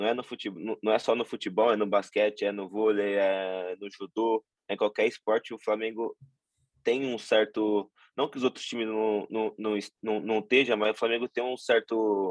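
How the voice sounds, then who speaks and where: A man's monotone, flat delivery at a moderate pace. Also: fairly low pitch for a man. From Brazil, Tupã (São Paulo state). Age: 20s. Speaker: professional basketball player. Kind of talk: interview. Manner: halting, many repetitions and fillers.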